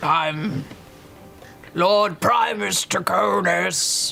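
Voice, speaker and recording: Over clear background music, a man puts on a raspy character voice pitched high. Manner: acted, imitating a lordly voice.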